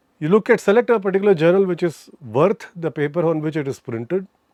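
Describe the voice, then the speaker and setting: The voice has a Tamil accent and a dark, mellow tone with ordinary pitch variation, recorded dry and close with no echo over a quiet background. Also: man. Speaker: chemistry professor. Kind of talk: interview. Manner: halting, self-correcting.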